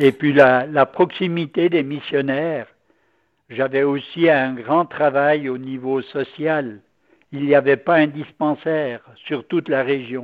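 A man at a very slow pace, fairly high in pitch. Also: fairly even intonation. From Valais, Switzerland. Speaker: Capuchin priest and former missionary. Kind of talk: radio interview.

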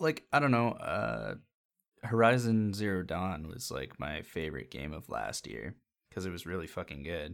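A man with a very deep, low pitch and vocal fry speaks at a moderate pace, with very wide pitch swings and big swings in loudness. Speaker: podcast host. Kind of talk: casual chat. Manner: casual, profane.

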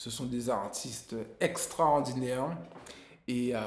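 A man speaks with audible room echo. His pitch varies in an ordinary way. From Guadeloupe. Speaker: musician and music teacher. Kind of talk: interview. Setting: music school.

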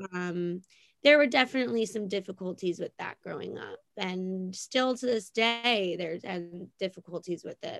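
A woman with an American accent speaks at a fairly slow pace in an unremarkable speaking voice, medium in pitch with ordinary variation. The sound is dry and close, with no echo. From New Jersey (Monmouth County shore area). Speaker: salon worker. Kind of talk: casual chat. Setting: video call.

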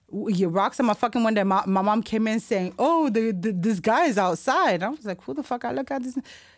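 A woman talks at a fairly quick pace with hardly any pauses, in an animated tone. Her fairly high voice has lively intonation. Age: 30s. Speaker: podcast host. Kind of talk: casual chat. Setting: studio.

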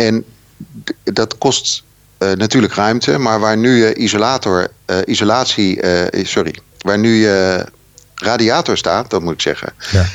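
Fairly slow delivery with long, frequent pauses and ordinary pitch variation. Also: man, very even loudness. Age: 50s. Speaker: sustainability consultant and local politician. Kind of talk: interview. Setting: phone call. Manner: animated.

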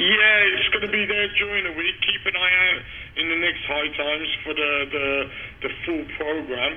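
There is noticeable background noise. A man speaks with a high pitch. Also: ordinary pitch variation. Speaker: cannabis seed breeder. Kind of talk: interview. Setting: phone call.

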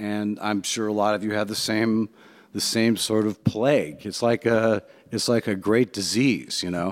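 In a very clean recording with a silent background and a dry, close sound with no echo, a man with an American accent and an unremarkable speaking voice talks at a moderate pace, his pitch fairly low and his intonation fairly even. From US Midwest, Cleveland, Ohio. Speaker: jazz pianist and composer. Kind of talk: talk to a luncheon audience. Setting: jazz club with live audience.

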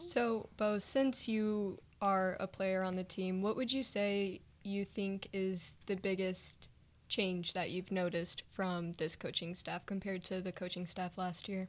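On a very clean recording with a silent background, a woman speaks fairly slowly in a plain, everyday voice at medium pitch. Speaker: college radio co-host and sports photographer. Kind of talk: casual radio show; weather report reading. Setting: radio studio.

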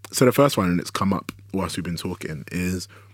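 Vocal fry marks a man's speech, pitched very deep and low. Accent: London. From South London (Woolwich), Nigerian heritage. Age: 20s. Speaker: writer and director. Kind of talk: casual interview chat.

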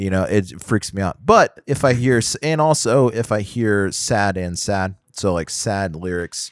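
In a very clean recording with a silent background and a dry, close sound with no echo, a man with an American accent talks at a fairly slow pace in an ordinary speaking voice with ordinary pitch variation. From Houston, Texas. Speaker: podcast co-host. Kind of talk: casual chat.

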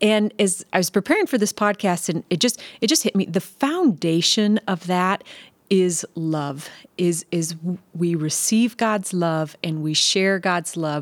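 A woman speaks in a plain, everyday voice at a fairly low pitch and fairly slow pace. Her pitch varies in an ordinary way, and the sound is dry and close with no echo. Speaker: church family ministry podcast host. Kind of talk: casual conversational interview with closing prayer. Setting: studio on couches.

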